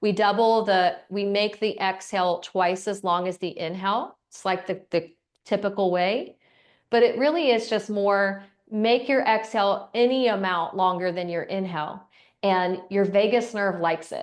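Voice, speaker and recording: The woman's pitch is medium, with ordinary variation. Her background is quiet. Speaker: breathwork instructor. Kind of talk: guided breathing class. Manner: slow.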